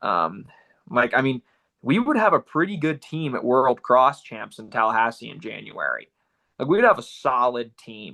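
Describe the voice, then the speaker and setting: A man speaks with a Southern US accent and lively intonation. Vocal fry runs through his voice. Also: medium pitch for a man, moderate pace. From Florida. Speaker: distance runner and running coach. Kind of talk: casual interview chat.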